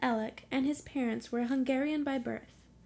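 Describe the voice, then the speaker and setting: A woman with a high pitch, at a moderate pace. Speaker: ghost story reader and co-host. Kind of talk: reading aloud a ghost story.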